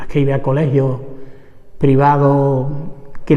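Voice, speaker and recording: A man speaks with an Andalusian accent and a fairly high pitch. Audible room echo surrounds his voice. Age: 70s. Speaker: trade unionist, former vineyard worker. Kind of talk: oral history interview. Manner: halting.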